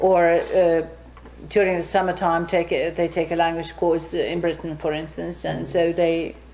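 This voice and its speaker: Noticeable background noise behind a woman's moderate pace. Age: 60s. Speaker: English teacher. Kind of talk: interview. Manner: halting.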